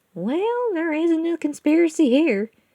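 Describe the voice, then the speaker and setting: A squeaky, put-on character voice, female-sounding, extremely high in pitch, at a moderate pace. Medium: read story. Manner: folksy, firm.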